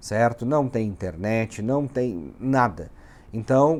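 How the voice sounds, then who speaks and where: A man talks in a medium pitch with a dark, mellow tone. The recording is very clean with a silent background. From southern Brazil (Rio Grande do Sul, Uruguaiana). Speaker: immigration lawyer, vlogger. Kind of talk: casual vlog. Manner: animated.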